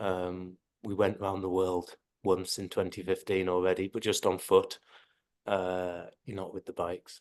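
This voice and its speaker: A man's very deep, low voice with an English accent, monotone and flat at a fairly slow pace, in a dry, close sound with no echo and a quiet background. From England. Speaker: long-distance cycle tourist. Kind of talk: casual chat. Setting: video call.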